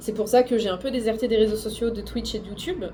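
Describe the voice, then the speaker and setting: A woman's fairly high voice against noticeable background noise. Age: 20s. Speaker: booktuber and streamer. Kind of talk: vlog. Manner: halting.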